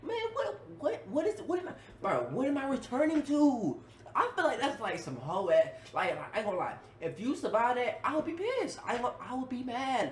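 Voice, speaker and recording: Against noticeable background noise, a man with an extremely high pitch speaks in an animated tone, his pitch swinging very widely. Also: fairly quick pace. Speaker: YouTube reactor. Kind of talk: reaction video commentary. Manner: fast.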